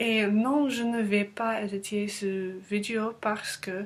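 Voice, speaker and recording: Noticeable background noise sits behind a woman's medium-pitched voice. She speaks very slowly with monotone, flat intonation. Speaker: language learner vlogger. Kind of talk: casual vlog monologue. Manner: halting, many hesitations.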